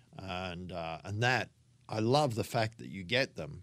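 With an Australian accent, a man talks at a fairly low pitch and a fairly slow pace, his intonation lively. The recording is very clean with a silent background. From Australia, Sydney northern beaches. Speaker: film editor. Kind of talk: interview. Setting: office on a film studio lot.

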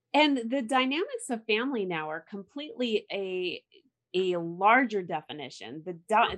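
A woman speaks with enthusiasm at a fairly slow pace, her intonation lively against a quiet background. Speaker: podcast host. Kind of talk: interview. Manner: enthusiastic.

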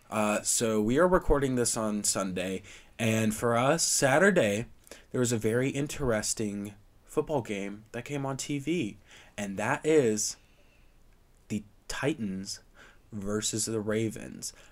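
On a very clean recording with a silent background, a man of medium pitch and ordinary pitch variation talks fairly slowly, with long, frequent pauses. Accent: American. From US South. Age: young. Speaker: sports podcast co-host. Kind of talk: casual chat.

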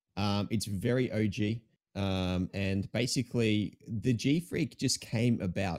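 A fairly low-pitched man with an Australian accent. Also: dry, close sound with no echo. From Melbourne, Australia. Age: 20s. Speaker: Twitch streamer. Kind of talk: casual chat. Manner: animated.

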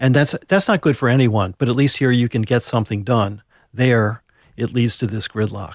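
A man with an American accent speaks in an unremarkable speaking voice at a medium pitch and moderate pace, with ordinary pitch variation, on a very clean recording with a silent background and a dry, close sound with no echo. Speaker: political analyst. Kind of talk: interview.

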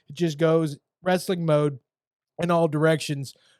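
A man with a normal speaking voice and a fairly high pitch talks at a moderate pace. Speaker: wrestling podcast host. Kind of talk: casual podcast monologue. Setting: online video podcast. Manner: casual, profane, conversational.

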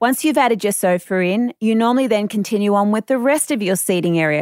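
On a very clean recording with a silent background and dry, close sound with no echo, a woman speaks at medium pitch and a fairly quick pace. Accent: Australian. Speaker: renovation expert, podcast presenter. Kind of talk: scripted narration.

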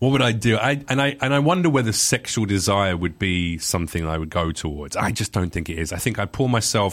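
A man's ordinary speaking voice, fairly low in pitch, with lively intonation and a fairly quick pace on a very clean recording with a silent background. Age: 30s. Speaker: comedian. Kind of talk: casual chat.

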